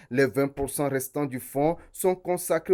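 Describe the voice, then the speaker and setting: At a moderate pace, a man with a fairly high pitch talks with fairly even intonation in an unremarkable speaking voice. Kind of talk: corporate narration.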